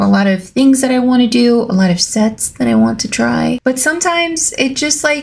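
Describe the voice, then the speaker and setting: A woman speaks in a somewhat breathy voice with a Spanish accent. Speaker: nail art youtuber. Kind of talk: casual vlog outro. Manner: animated.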